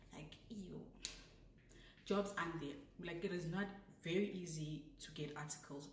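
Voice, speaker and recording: A woman, fairly low-pitched, at a fairly slow pace with long, frequent pauses, fairly even intonation, big swings in loudness and audible room echo. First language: not English. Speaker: vlogger, law graduate. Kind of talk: casual advice vlog. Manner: chatty, self-correcting.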